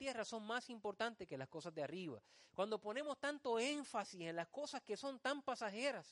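In a dry, close recording with no echo, a man with an extremely high voice talks at a moderate pace with lively intonation. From Puerto Rico, Vega Baja. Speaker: pastor. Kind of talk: sermon. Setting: church.

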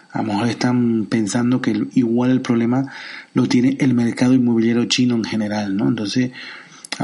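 Heard over noticeable background noise, a man with a Canarian accent talks at a moderate pace and medium pitch, his intonation fairly even. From Canary Islands, Santa Cruz de Tenerife. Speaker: podcast host. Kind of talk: solo commentary podcast. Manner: halting, many fillers.

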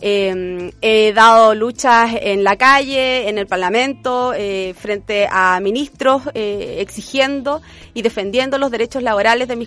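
Fairly even intonation in a woman's fairly high voice. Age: 40s. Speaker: political candidate and union leader. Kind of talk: interview. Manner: halting.

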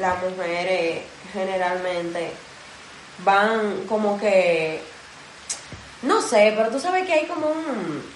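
A woman with a Dominican accent talks at a medium pitch with lively intonation. Audible room echo and noticeable background noise are present. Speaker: podcast co-host. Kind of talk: casual chat.

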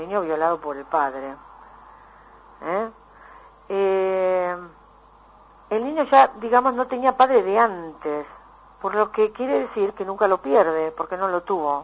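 In a Rioplatense accent, the speaker goes at a fairly slow pace with long, frequent pauses and big swings in loudness. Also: woman, medium pitch for a woman, lively intonation. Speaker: psychologist. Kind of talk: radio interview.

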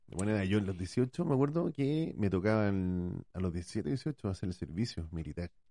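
With a Chilean accent and a fairly low pitch, a man talks fairly slowly in a dark, mellow tone, with lively intonation and hardly any pauses. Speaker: podcast co-host, parent. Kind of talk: casual chat.

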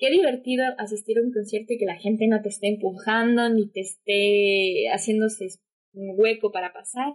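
Here a woman has a normal speaking voice at a fairly high pitch. She keeps a moderate pace and fairly even intonation. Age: 20s. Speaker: COVID-19 survivor, communications graduate. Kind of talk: casual chat.

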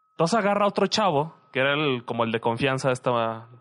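The voice has lively intonation and a Mexican accent. The sound is dry and close, with no echo. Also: man. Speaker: podcast co-host, student. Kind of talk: casual chat.

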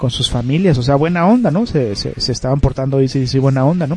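With a Mexican accent, a man talks at a fairly quick pace at a medium pitch with ordinary pitch variation, over noticeable background noise. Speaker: internet radio host. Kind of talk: casual radio show.

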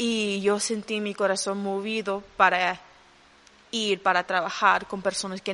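Bright and sharp in tone, a woman speaks at medium pitch and a fairly slow pace with monotone, flat intonation. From Honduras. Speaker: youth leader. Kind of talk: interview. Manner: halting.

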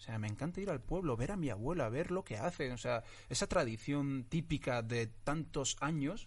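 Vocal fry runs through this man's voice. His pitch sits in the medium range. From Morocco (Tetouan), raised from age 9 in Getafe, Madrid. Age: 20s. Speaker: actor. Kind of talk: casual interview chat. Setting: studio with camera and microphone.

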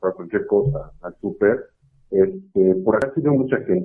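Very wide pitch swings in a man's voice of medium pitch. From Mexico City. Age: 20s. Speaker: caller, systems engineer. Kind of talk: phone-in conversation. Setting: phone call. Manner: halting.

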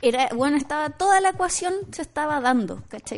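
A woman with a Chilean accent. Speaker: teacher and radio co-host. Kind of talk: casual chat.

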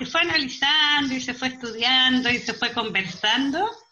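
A woman's very slow delivery. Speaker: amateur actress. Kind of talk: interview.

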